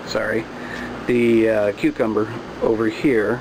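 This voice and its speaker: There is noticeable background noise behind this man. He speaks at a medium pitch with monotone, flat intonation. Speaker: home gardening vlogger. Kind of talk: casual video tutorial.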